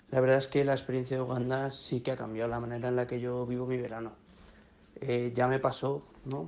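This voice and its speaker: Speaking at a fairly quick pace, a man keeps a monotone, flat intonation at medium pitch. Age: 20s. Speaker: volunteer. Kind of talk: testimony.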